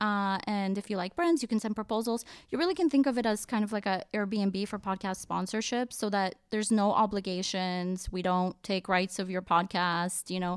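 Fairly even intonation marks a plain, everyday voice, heard in a very clean recording with a silent background. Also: woman. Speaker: podcast industry professional. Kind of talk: casual chat.

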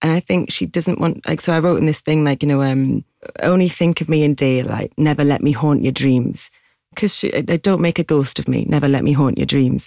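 A fairly quick voice with a Geordie accent and a dark, mellow tone keeps very even loudness and ordinary pitch variation, recorded dry and close with no echo in a very clean recording against a silent background. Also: woman, very deep, low pitch for a woman. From Newcastle, north-east England. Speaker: singer-songwriter. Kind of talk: casual interview chat.

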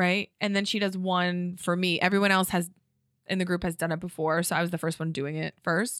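A woman with a slight Connecticut accent, fairly low pitch and monotone, flat intonation, on a very clean recording with a silent background. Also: fairly quick pace. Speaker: stand-up comedian and podcaster. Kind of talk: casual chat. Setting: studio.

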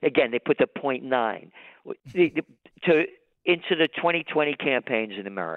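With a New York accent, a man speaks in a fairly high voice at a moderate pace, his lively intonation broken by long, frequent pauses. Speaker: trends forecaster and publisher. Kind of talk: interview. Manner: animated.

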